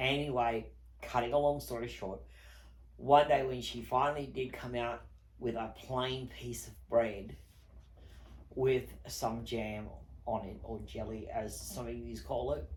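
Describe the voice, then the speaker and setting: In an Australian accent, a man speaks at a fairly slow pace with long, frequent pauses and big swings in loudness, with audible room echo. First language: not English. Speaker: online video host. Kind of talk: personal testimony.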